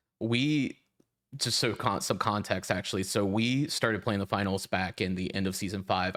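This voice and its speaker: In an ordinary speaking voice, a man talks at a fairly quick pace and a fairly low pitch with ordinary pitch variation. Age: 20s. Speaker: podcast co-host, software engineer. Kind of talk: casual interview chat.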